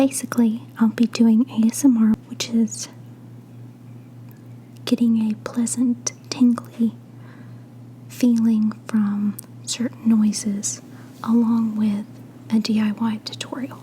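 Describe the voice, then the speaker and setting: With long, frequent pauses, a woman talks very slowly as noticeable background noise runs underneath. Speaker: ASMR creator. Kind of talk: ASMR craft tutorial. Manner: soft-spoken.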